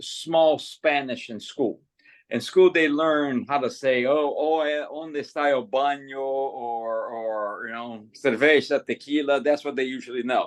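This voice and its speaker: A man with a Portuguese accent, fairly high pitch, ordinary pitch variation and a fairly slow pace, against a quiet background. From Brazil. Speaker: English conversation tutor. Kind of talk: casual conversation practice. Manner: halting, many repetitions.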